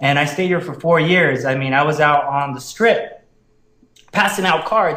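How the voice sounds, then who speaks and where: The man's tone comes across bright and sharp. He keeps a moderate pace. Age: 30s. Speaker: network marketer. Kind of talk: interview testimony.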